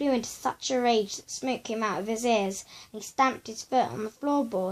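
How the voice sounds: The passage is read in a natural reading voice whose pitch varies in an ordinary way.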